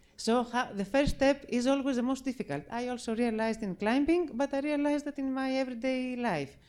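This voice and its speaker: A woman with a Greek accent speaks at a high pitch and a fairly quick pace, with ordinary pitch variation and hardly any pauses. The recording is very clean with a silent background. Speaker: circle leader, mountain climber. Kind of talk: event speech. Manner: halting.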